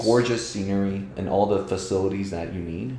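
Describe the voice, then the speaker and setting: A man speaks in a fairly low, dark, mellow voice. His tone is somewhat breathy. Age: 30s. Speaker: real estate investor. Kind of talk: interview answer. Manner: casual.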